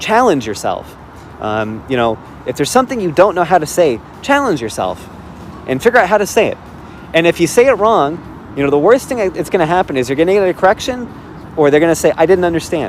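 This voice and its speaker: Noticeable background noise sits under a man with a high voice who talks at a very fast pace, his pitch swinging very widely, with long pauses coming often. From Chicago, US Midwest. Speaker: language learner. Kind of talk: casual chat. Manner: hesitant, many fillers.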